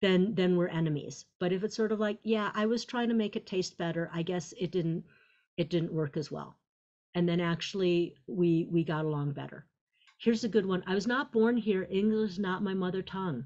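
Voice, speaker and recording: A woman with an unremarkable speaking voice talks at medium pitch with ordinary pitch variation. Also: moderate pace. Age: 50s. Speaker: psychiatrist. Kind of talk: lecture.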